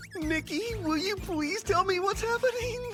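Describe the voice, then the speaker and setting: Clear music plays in the background. A put-on character voice speaks at an extremely high pitch. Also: moderate pace. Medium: fan dub. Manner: excitable.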